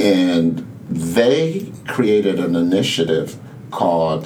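With music in the background, a man speaks at a very slow pace in a very deep, low pitch. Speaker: community center co-founder. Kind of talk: casual interview conversation. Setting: in person at the center.

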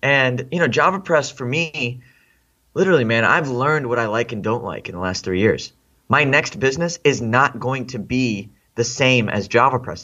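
A man with a plain, everyday voice and an American accent speaks at a moderate pace, using medium pitch and ordinary pitch variation. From Boston area, then Gujarat India, then Texas. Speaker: entrepreneur and podcast host. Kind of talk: casual interview chat. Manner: casual, friendly.

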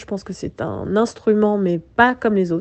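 A dark, mellow tone with ordinary pitch variation against a quiet background. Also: woman. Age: 30s. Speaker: jazz singer. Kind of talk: interview. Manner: halting, many hesitations.

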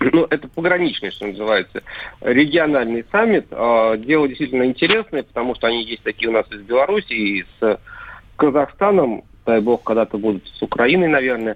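Here is a man with a normal speaking voice and medium pitch. His intonation is lively and his pace moderate. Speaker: Kremlin pool journalist. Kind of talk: casual chat. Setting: phone call.

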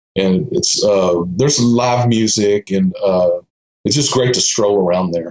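Speaking at a fairly slow pace, a man with a Texan accent has a fairly low pitch and ordinary pitch variation. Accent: Texan American. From Austin, Texas. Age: 50s. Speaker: street photographer. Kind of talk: casual interview chat.

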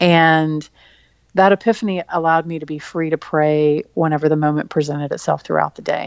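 A woman with a Texan accent, very deep and low in pitch, with fairly even intonation over a quiet background. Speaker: author. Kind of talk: interview.

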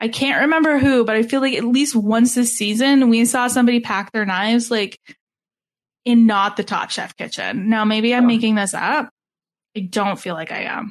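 The speaker has an unremarkable speaking voice and a moderate pace. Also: woman, fairly high pitch for a woman, ordinary pitch variation. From Canada. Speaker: podcast host. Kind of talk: casual chat.

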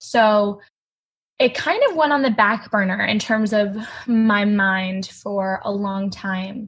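A woman with a somewhat breathy, medium-pitched voice speaks at a very slow pace with ordinary pitch variation. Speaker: college student and eating disorder survivor. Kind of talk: personal testimony in interview.

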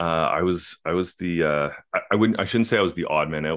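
A man's very fast speech with vocal fry, dry and close with no echo. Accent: Canadian. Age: 40s. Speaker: biotech company co-founder, former pro baseball player. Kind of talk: interview.

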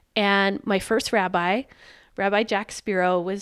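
A woman with a plain, everyday voice speaks in an American accent at a medium pitch and fairly slow pace, on a very clean recording with a silent background. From US South (Richmond, Virginia). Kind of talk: casual interview chat. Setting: at home kitchen table.

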